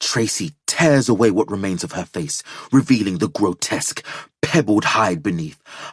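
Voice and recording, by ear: Reading aloud in a natural voice, with lively intonation over a quiet background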